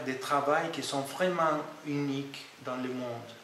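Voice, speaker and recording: A man's fairly high voice with a non-native accent, very slow and fairly even in intonation, amid noticeable background noise and audible room echo. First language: not French (speaking French). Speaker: IT project manager. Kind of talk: interview testimony. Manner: halting, many hesitations.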